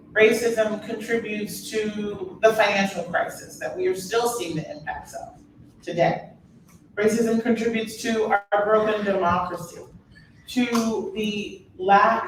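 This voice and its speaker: A woman with an American accent speaks at a fairly slow pace, her fairly high pitch showing ordinary variation, with noticeable background noise and audible room echo. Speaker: author and speaker. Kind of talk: public talk. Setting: stage with audience.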